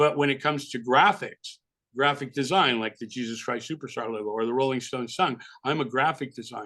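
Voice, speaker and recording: Bright and sharp in tone, a man with a slight New York accent talks at a fairly quick pace in a medium pitch with ordinary pitch variation. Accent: minimal New York. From California. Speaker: album cover designer. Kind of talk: interview. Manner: casual, animated.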